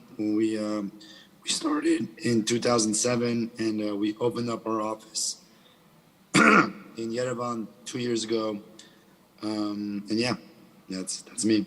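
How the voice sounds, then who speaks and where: A man at a fairly slow pace and medium pitch, with fairly even intonation, long, frequent pauses and noticeable background noise. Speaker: software company co-founder. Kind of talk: panel discussion.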